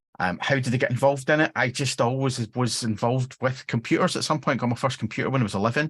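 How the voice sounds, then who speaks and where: A man with a Glaswegian accent talks at a very fast pace with hardly any pauses. His medium pitch holds fairly even intonation against a quiet background. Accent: Glaswegian Scottish. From Scotland, near Glasgow. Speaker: software engineering manager. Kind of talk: interview. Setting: live stream.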